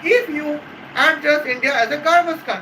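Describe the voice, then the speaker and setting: A man speaks in an extremely high pitch with a raised, projected voice. Noticeable background noise is present. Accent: Bengali. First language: Bengali. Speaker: YouTube commentator. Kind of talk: casual commentary. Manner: halting, many fillers.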